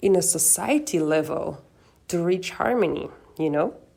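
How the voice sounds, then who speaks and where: A woman with a Flemish accent and a dark, mellow tone speaks at a fairly slow pace on a very clean recording with a silent background. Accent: Flemish Belgian Dutch accent in English. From Belgium, Antwerp. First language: Dutch. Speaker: podcast host. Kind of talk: personal podcast monologue.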